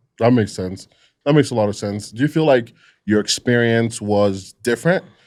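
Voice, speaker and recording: On a very clean recording with a silent background, a man talks at a moderate pace in a medium voice with ordinary pitch variation and an unremarkable speaking voice. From Nigeria, moved to US at 14. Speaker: recovery podcast host. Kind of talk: casual chat.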